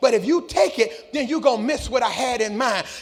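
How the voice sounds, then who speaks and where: A man speaks in an animated tone at an extremely high pitch, with ordinary pitch variation. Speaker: pastor. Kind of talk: sermon.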